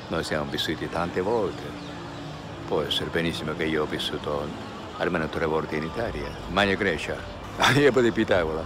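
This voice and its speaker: A man with a very deep, low voice talks at a fairly quick pace, broken by long, frequent pauses, with ordinary pitch variation. The sound is dry with no echo, though background noise is noticeable. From Japan. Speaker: actor, mime, translator, voice dubbing artist; actor being interviewed. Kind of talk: interview answer. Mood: calm, reflective. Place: street.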